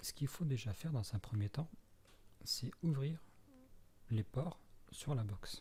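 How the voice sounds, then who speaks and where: A man's voice, somewhat breathy with a dark, mellow tone, comes at a fairly slow pace and carries lively intonation. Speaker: tutorial maker. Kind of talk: tutorial. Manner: halting.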